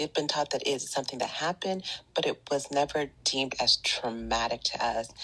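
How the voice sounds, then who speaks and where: A woman speaks with a very deep, low pitch and a bright, sharp tone. Her pace is fairly quick, her loudness very even and her pitch variation ordinary. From Northern California, Bay Area. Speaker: Reiki teacher and wellness podcaster. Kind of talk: casual interview chat.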